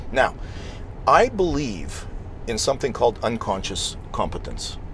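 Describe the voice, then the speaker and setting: A man with a Montreal accent speaks at a fairly slow pace. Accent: Canadian English (Montreal anglophone). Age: 60s. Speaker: real estate investor. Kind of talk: interview.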